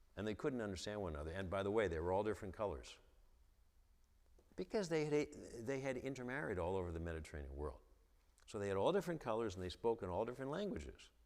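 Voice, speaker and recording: Making very wide pitch swings, a man with a fairly low pitch speaks at a very fast pace. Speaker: theologian and author. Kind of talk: lecture. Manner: halting, repeated syllables.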